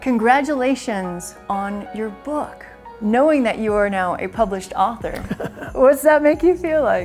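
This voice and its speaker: Over music in the background, a woman with a fairly high pitch speaks at a fairly slow pace with lively intonation. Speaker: TV host. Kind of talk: TV interview questions.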